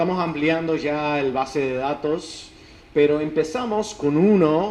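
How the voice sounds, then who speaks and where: A man with an English accent speaks at a very slow pace and a fairly high pitch with lively intonation. Noticeable background noise and audible room echo fill the recording. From United States. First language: English (speaking Spanish). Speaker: academic researcher. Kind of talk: lecture. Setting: conference talk. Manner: halting, with false starts.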